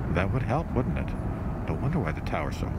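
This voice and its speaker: Loud background noise fills this clip. Through it, a man talks with a dry sound and no echo. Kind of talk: casual live commentary. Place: waterside. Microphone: phone near.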